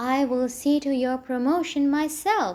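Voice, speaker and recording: A woman's squeaky, put-on character voice, high-pitched, at a fairly slow pace with ordinary pitch variation. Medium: read story. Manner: nervous, fussy.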